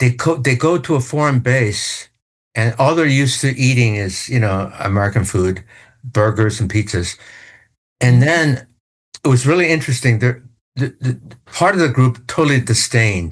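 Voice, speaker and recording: Intonation here is lively, and the speech moves at an average speed. There is some breathiness in the voice. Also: man. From Taiwan. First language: Chinese. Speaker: news executive. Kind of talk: interview.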